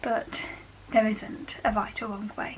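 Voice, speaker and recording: Moderate-paced female speech, fairly high in pitch, with ordinary pitch variation amid noticeable background noise. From West Midlands, England. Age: 20s. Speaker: university student. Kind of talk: casual talk to camera.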